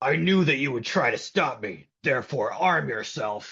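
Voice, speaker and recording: Putting on a growling character voice, a man speaks at a moderate pace and medium pitch. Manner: menacing, challenging.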